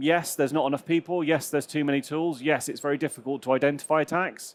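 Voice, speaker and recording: A man with a West Country accent speaks at a very fast pace, his pitch fairly high and his intonation fairly even. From southwest England, Gloucestershire. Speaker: cybersecurity manager. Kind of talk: conference talk. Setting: stage with audience. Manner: hesitant, many fillers.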